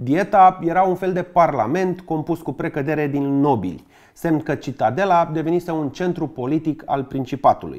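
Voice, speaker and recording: In a Bucharest accent, a man with a fairly high pitch and ordinary pitch variation talks at a moderate pace over a quiet background. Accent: Bucharest Romanian. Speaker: history YouTuber. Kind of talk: scripted narration; humorous educational narration. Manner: lively, joking. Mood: wry, joking.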